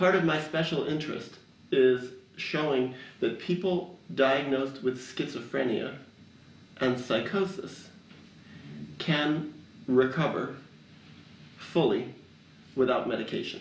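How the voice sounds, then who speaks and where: A man with an American accent talks at a fairly slow pace, pitched fairly high, with ordinary pitch variation. Long, frequent pauses break up his speech, and audible room echo surrounds it. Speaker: documentary filmmaker. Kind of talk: interview.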